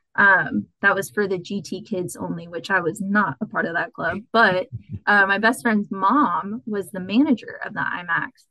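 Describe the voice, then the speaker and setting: A woman speaks at a moderate pace in an American accent, her pitch medium with ordinary variation. It is an ordinary speaking voice. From Texas, San Antonio. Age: 20s. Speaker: graduate student, aquatic biologist. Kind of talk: interview, casual chat.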